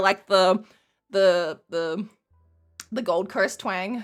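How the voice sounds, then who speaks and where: Music plays in the background. Over it, a woman talks at a medium pitch. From Tasmania, Australia. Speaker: video game streamer. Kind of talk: casual live stream chat. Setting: live stream.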